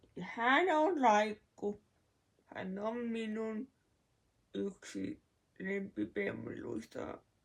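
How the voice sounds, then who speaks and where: A woman speaks at a very slow pace. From Finland, Kuopio (Northern Savo). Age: 20s. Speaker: vlogger. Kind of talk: casual vlog talk.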